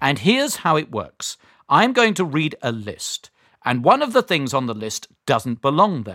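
The voice has a British accent and a warm, enthusiastic yet bright, sharp tone, with very wide pitch swings at a fairly slow pace. The sound is dry and close with no echo, in a very clean recording with a silent background. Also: man, fairly high pitch for a man. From Great Britain. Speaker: quiz show host. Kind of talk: kids quiz show hosting, friendly and encouraging. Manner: warm, enthusiastic, clear.

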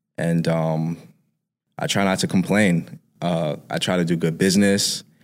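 A very clean recording with a silent background captures a man with a New York accent, a very deep, low pitch and fairly even intonation. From New York, Harlem. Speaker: music producer. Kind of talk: casual interview.

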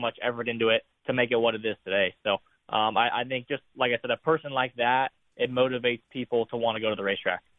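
Intonation is monotone and flat as a man talks very fast. He has an American accent. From California, Hanford area. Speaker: racing driver. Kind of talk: interview. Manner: halting.

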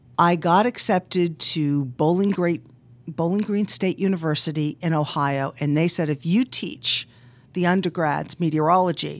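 Speaking at a moderate pace with a normal speaking voice, a woman with an American accent uses a fairly low pitch and ordinary pitch variation, recorded very cleanly with a silent background. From Boston, US. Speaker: meteorologist and business owner. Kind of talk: interview.

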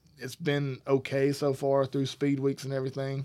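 A man with a Southern US accent talks at a moderate pace in a fairly high pitch. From Alabama. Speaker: podcast co-host. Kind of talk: casual chat. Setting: studio.

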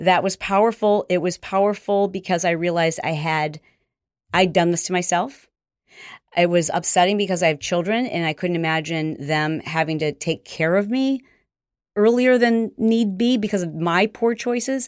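A woman's unremarkable speaking voice at a moderate pace. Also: medium pitch for a woman, ordinary pitch variation, very clean recording, silent background. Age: 50s. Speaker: fitness entrepreneur and motivational speaker. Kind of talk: interview.

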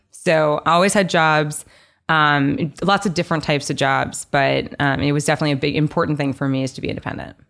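On a very clean recording with a silent background, a woman with a very deep, low pitch talks very fast with fairly even intonation. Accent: American. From New York City. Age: 20s. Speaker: venture fund co-founder. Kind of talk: casual interview.

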